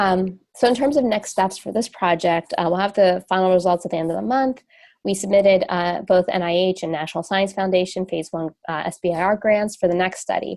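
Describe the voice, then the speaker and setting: A woman's fairly quick, medium-pitched speech in a New Jersey accent, with hardly any pauses, ordinary pitch variation and a quiet background. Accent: New Jersey American. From US, New Jersey. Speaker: radiation oncologist and company co-founder. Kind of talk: webinar lecture. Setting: webinar. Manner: fast.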